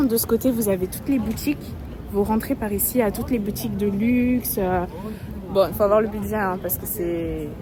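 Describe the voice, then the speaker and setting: A woman's medium-pitched voice with ordinary pitch variation, over noticeable background noise. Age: young. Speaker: travel vlogger. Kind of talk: travel vlog narration. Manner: hesitant, many fillers.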